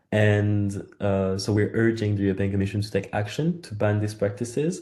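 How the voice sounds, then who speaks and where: Against a quiet background, the voice has a dark, mellow tone, a moderate pace and ordinary pitch variation. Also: man, fairly low pitch for a man. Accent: French. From France. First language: French. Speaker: campaign organiser. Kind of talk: webinar presentation. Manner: halting.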